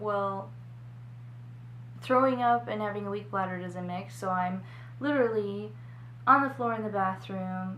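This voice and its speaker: A woman speaks at a moderate pace, leaving long, frequent pauses. There is noticeable background noise and audible room echo. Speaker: vlogger, mother. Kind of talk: personal vlog.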